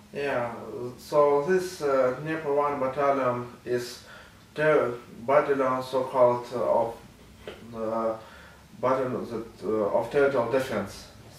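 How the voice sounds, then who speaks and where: The speech moves at a fairly slow pace, broken by long, frequent pauses, with fairly even intonation. Audible room echo hangs on the voice. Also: man, medium pitch for a man. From Ukraine, Kharkiv; Ukraine. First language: Russian or Ukrainian. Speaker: war journalist. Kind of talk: interview testimony. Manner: halting, many fillers. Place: office.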